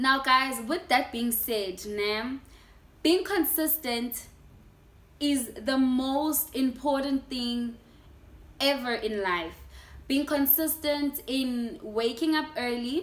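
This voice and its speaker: A woman with a South African accent speaks at a very slow pace, leaving long, frequent pauses. Her pitch is high, with ordinary variation. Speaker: YouTuber. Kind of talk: casual sit-down vlog.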